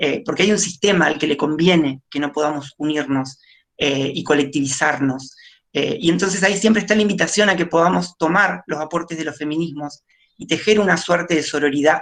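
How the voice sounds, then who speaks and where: A woman with a very deep, low voice talks at a fairly quick pace with ordinary pitch variation. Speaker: nurse. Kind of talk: panel talk. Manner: fast; hesitant with fillers.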